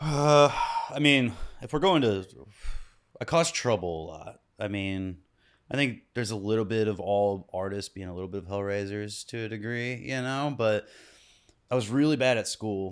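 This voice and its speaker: Over a very clean recording with a silent background, a man with an American accent speaks at a moderate pace and a fairly low pitch, with ordinary pitch variation, big swings in loudness, and long, frequent pauses. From US Midwest, Kansas City. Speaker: musician. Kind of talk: casual chat. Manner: halting.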